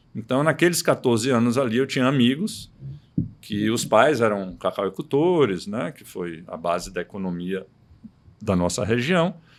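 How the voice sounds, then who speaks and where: A man's medium-pitched voice with very wide pitch swings and big swings in loudness, on a very clean recording with a silent background. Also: moderate pace. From Bahia, Brazil (Itabuna). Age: 60s. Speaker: orthopedic surgeon. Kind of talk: casual chat.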